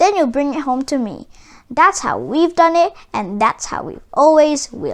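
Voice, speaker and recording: A high-pitched, put-on character voice. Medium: read story. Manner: firm, measured.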